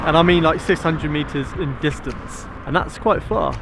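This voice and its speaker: Recorded dry with no echo but with noticeable background noise, a man talks at a moderate pace. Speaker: drone vlogger. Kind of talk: casual vlog chat. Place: open country. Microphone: phone near.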